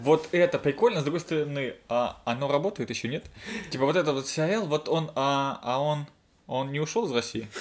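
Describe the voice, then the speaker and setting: This man has an ordinary speaking voice with a fairly high pitch. He talks at a moderate pace with ordinary pitch variation. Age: 30s. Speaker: podcast host. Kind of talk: casual chat. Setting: same room as co-host.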